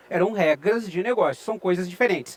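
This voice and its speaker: A man with a southern Brazilian accent talks at a very fast pace. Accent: southern Brazilian (gaúcho). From Rio Grande do Sul, southern Brazil. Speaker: IT researcher and lecturer. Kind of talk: conference talk. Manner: conversational, with frequent filler sounds.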